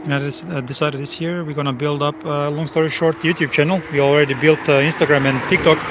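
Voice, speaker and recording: A man's fairly high voice in a Croatian accent, very fast with hardly any pauses, monotone and flat, over noticeable background noise. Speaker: live streamer. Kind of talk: live stream chat. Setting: outdoors at a race track. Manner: loud when cars pass.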